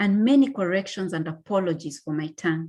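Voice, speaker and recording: A woman with a Kenyan accent speaks at a moderate pace with lively intonation. Her fairly low pitch has a dark, mellow tone. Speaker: graduate student. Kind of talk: reading a personal essay aloud.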